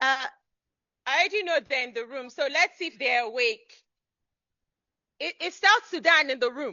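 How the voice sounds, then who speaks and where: A loud, high-pitched woman's voice with lively intonation, a moderate pace and long, frequent pauses. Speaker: event moderator. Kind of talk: event hosting with live audience. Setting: conference hall with audience, microphone. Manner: animated.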